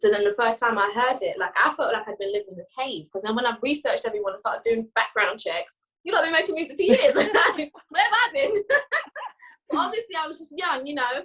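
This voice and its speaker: A woman speaks at a fairly quick pace in a high, bright and sharp voice, her pitch swinging very widely and her loudness rising and falling a great deal. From UK. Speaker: rapper. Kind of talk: casual interview chat.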